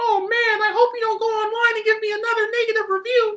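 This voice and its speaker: An extremely high-pitched, put-on character voice races along at a very fast pace. Its intonation stays monotone and flat. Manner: weird put-on voice, mock-pleading.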